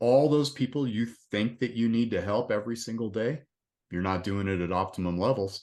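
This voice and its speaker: A plain, everyday voice moves at a fairly quick pace with ordinary pitch variation against a quiet background. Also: man. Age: 60s. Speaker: resilience coach, retired police officer. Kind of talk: casual interview chat.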